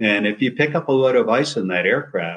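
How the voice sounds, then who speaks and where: This man has a plain, everyday voice, pitched in the medium range and moving at a moderate pace. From New Jersey. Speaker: retired surgeon and rescue pilot. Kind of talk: interview.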